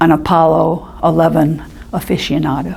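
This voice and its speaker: Amid audible room echo, a woman speaks very slowly at a fairly low pitch. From Florida, US. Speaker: senior center member. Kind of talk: casual reminiscence.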